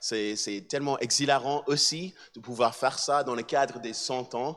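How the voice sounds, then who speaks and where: At a fairly slow pace, a man with an American accent speaks at medium pitch with ordinary pitch variation. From mixed: USA, Switzerland, South Africa, Barbados. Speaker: musician and assistant pastor. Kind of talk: talk to an audience. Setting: hall with live audience. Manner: halting, many hesitations and repetitions.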